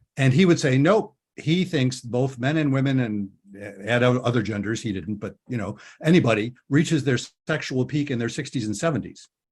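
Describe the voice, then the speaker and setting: A man speaks at a fairly quick pace with medium pitch, lively intonation and a somewhat breathy sound, in a very clean recording with a silent background. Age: 70s. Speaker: couples therapist and podcast host. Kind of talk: interview. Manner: halting.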